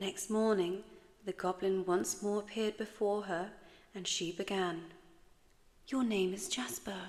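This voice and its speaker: Soft-spoken and fairly slow, a woman with an English accent talks at a medium pitch with fairly even intonation. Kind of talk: sleep story.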